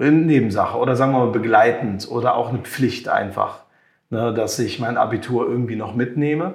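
A man talks at a moderate pace with medium pitch and ordinary pitch variation. His voice is somewhat breathy. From Germany (raised from infancy, Moroccan family; Limburg area). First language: French and Moroccan Arabic (speaking German). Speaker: music producer and creative entrepreneur. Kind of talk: interview.

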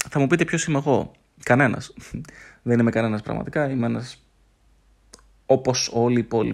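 In a very clean recording with a silent background, the speaker talks at a moderate pace with fairly even intonation and long, frequent pauses. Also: man, medium pitch for a man. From Greece, Thessaloniki. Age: 30s. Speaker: podcast host. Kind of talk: solo podcast monologue. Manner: unscripted, halting with fillers.

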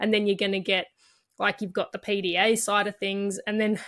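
Medium-pitched woman in an Australian accent, moderate pace, very clean recording with a silent background. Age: 30s. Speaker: podcast host. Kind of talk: interview.

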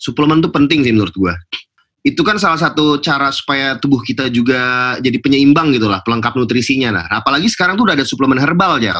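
Talking at a very fast pace, a man has a bright, sharp tone and lively intonation. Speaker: podcast host. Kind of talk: casual chat between friends.

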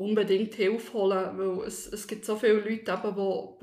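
Amid noticeable background noise and audible room echo, a woman talks with monotone, flat intonation. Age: 30s. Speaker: office worker sharing personal debt story. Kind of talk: personal testimony interview. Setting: studio, seated next to host. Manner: hesitant, many fillers.

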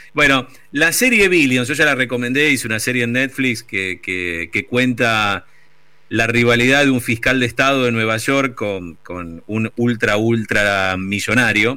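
Against a silent background in a very clean recording, a man with a bright, sharp tone speaks at a fairly slow pace with ordinary pitch variation. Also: medium pitch for a man. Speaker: radio host. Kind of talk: casual chat on radio.

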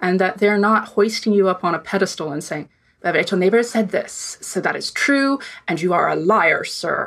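Her pitch is medium, with ordinary pitch variation. The woman speaks at a moderate pace. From US South, rural Virginia. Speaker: front-end developer and animator. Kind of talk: interview.

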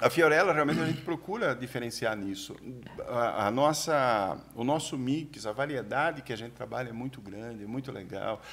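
In an unremarkable speaking voice, a man talks at a moderate pace and medium pitch. His pitch variation is ordinary, while his loudness swings widely. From Brazil, São Paulo state countryside. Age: 50s. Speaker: shoe distributor and entrepreneur. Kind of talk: casual chat. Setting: studio.

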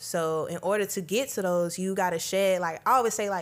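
A woman's medium-pitched voice with ordinary pitch variation, in a very clean recording over a silent background. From US South. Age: 20s. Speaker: university student leader. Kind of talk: casual chat.

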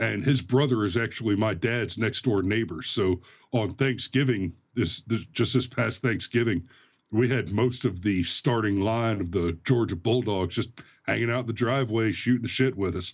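A man speaks in a normal speaking voice at a moderate pace. His pitch is medium, with ordinary pitch variation. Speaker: guest commentator. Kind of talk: casual live-streamed political commentary. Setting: live stream, video call.

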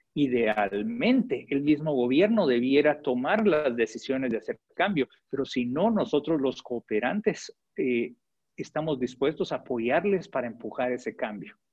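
A man's fairly high voice, with very wide pitch swings and a fairly slow pace. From Guatemala. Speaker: development agency director. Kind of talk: interview. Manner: hesitant, many fillers.

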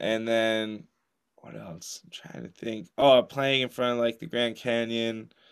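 An animated voice with an American accent, at a fairly slow pace, with ordinary pitch variation and big swings in loudness. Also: man, medium pitch for a man. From New Jersey. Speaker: parajudo athlete. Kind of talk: casual interview chat. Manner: animated, casual.

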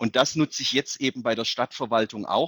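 At a very fast pace, a man with a medium pitch keeps fairly even intonation on a very clean recording with a silent background and a dry, close sound with no echo. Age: 30s. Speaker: mayor. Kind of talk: interview.

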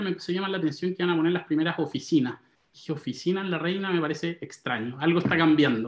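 Very fast and high for a man, the voice shows ordinary pitch variation. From Chile, Santiago. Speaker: real estate investor. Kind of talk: interview.

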